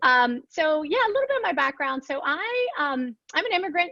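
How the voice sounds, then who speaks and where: A woman projects her raised voice at a moderate pace. Her tone is bright and sharp, her intonation lively. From Ecuador, also Asia. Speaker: media executive. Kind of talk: interview. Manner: halting, many fillers.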